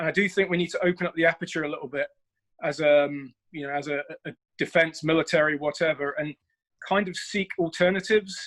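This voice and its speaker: Speaking at a fairly quick pace with a British accent, a man uses a high pitch and fairly even intonation, his sound dry and close with no echo. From United Kingdom. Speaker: military officer. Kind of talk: audience question in online panel. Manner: halting, many fillers.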